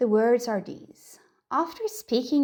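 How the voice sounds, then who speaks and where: A woman's unremarkable speaking voice at a fairly slow pace, with ordinary pitch variation. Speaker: meditation guide. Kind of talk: guided meditation. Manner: soft, slow.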